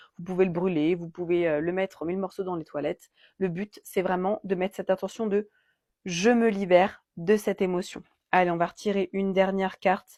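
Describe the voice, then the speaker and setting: A woman's normal speaking voice at medium pitch and moderate pace, dry and close with no echo, over a quiet background. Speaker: card reader and energy healer. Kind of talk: oracle card reading guidance.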